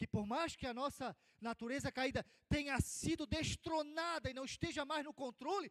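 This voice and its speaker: A man talks at a moderate pace in an extremely high voice with ordinary pitch variation, recorded dry and close with no echo. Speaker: Sunday school teacher. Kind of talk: Bible class lecture.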